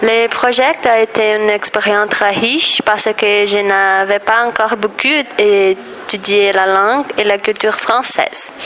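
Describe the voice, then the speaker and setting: A woman speaks at a fairly slow pace with very even loudness and fairly even intonation. Noticeable background noise sits behind her. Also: medium pitch for a woman. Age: 20s. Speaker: drama graduate, language learner. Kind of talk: testimony.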